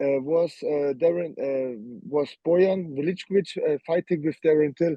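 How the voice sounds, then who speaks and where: A man is speaking in a fairly high pitch. His pitch variation is ordinary. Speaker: MMA fighter. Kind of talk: interview. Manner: halting.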